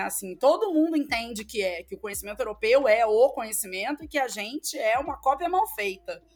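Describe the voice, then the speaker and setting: A woman speaks with a high pitch and lively intonation. Music plays in the background. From Rio de Janeiro, Brazil. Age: 30s. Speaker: professor. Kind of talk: interview.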